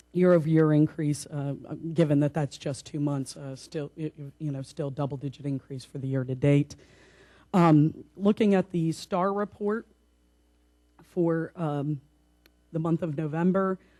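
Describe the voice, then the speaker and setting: A woman with a very deep, low pitch and a dark, mellow tone speaks at a moderate pace, with ordinary pitch variation and long, frequent pauses. The recording is very clean with a silent background, and the sound is dry and close with no echo. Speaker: tourism bureau staff presenter. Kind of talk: board meeting report.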